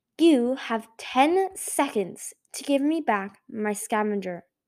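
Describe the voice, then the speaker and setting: In a put-on character voice, a female-sounding speaker growls at a high pitch and a fairly slow pace, in a very clean recording with a silent background. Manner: snarling, threatening.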